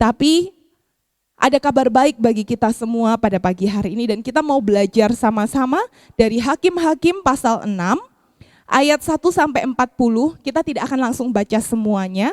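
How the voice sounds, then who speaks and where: Speaking at a moderate pace, a woman uses a high pitch and lively intonation. The sound is dry and close, with no echo. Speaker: pastor. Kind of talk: sermon.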